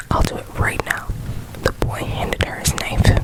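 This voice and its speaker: Someone speaks in a whisper. Noticeable background noise is present. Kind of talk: scary story reading. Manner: whispered, soft.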